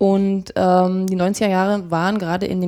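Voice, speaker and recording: The woman's voice has a dark, mellow tone. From Brandenburg, Uckermark (Prenzlau, Templin). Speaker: regional association founder. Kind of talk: interview. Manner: halting.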